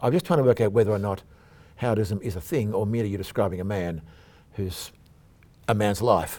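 Very fast but broken by long, frequent pauses, a man with an Australian accent speaks in a dark, mellow tone at a fairly low pitch with ordinary variation. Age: old. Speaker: podcast host. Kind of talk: interview.

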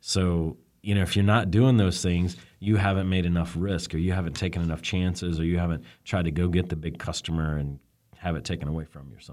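A man with an Alabama accent speaks at a very fast pace in a very deep, low pitch. His loudness swings widely on a very clean recording with a silent background. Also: ordinary pitch variation. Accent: Southern US (Alabama). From US South, Birmingham, Alabama. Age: 40s. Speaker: telecom executive. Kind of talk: interview.

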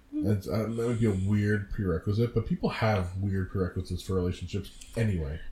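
A man's fairly low, somewhat breathy voice at a fairly quick pace, with very even loudness. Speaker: podcast co-host. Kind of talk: casual chat. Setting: home recording. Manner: animated.

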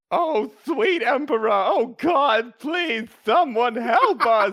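Using a put-on character voice, a man speaks at a very slow pace in an extremely high pitch. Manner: panicked, desperate.

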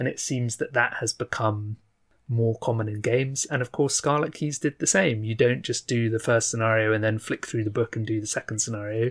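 A man's somewhat breathy voice, medium in pitch with fairly even intonation, comes through a dry, close sound with no echo on a very clean recording with a silent background. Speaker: podcast host. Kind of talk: casual chat. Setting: home recording with windows closed. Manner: joking, humorous.

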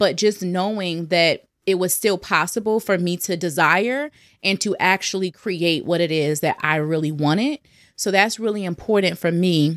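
A woman talks at a moderate pace with a normal speaking voice, medium in pitch and with ordinary pitch variation. The recording is very clean, with a silent background. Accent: American. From New Jersey. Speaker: sales messaging and mindset coach. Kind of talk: casual interview.

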